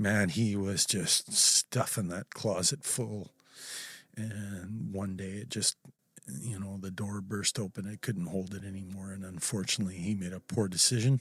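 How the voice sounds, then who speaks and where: A man's unremarkable speaking voice, fairly low in pitch, with fairly even intonation at a moderate pace, in a very clean recording with a silent background and a dry, close sound with no echo. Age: 50s. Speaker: folk musician. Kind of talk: casual chat. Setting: studio.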